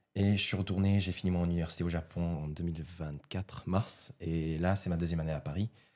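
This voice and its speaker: Speaking at a fairly quick pace, this man has a very deep, low voice with a dark, mellow tone and fairly even intonation. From Japan. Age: 20s. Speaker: podcast guest, student and entrepreneur. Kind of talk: casual podcast conversation.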